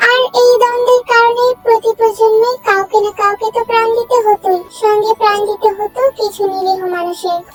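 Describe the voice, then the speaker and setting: Fairly even intonation at a moderate pace, dry and close with no echo, over music in the background. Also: woman, extremely high pitch for a woman. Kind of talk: dramatic story narration. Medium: fan dub.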